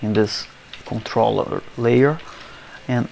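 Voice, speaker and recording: A man with a non-native accent talks at a very slow pace over noticeable background noise. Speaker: software developer. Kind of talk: coding tutorial screencast.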